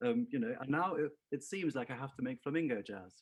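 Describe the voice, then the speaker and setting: A man talks at a moderate pace with a slight southern English accent. His intonation is lively. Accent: southern English-tinged. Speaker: singer-songwriter. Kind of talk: interview.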